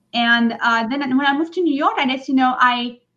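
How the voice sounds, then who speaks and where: Talking at a fairly quick pace, a woman has a high pitch and a bright, sharp tone. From France, French Riviera. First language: French. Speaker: singer-songwriter. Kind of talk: interview. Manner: halting.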